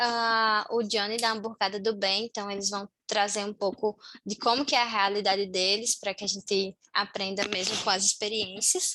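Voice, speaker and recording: Against a quiet background, a woman with a northeastern Brazilian accent speaks in a bright, sharp tone at a fairly high pitch with fairly even intonation. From Brazil, Natal, Rio Grande do Norte. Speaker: community team member of a volunteering platform. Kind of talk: online meeting presentation. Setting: video call.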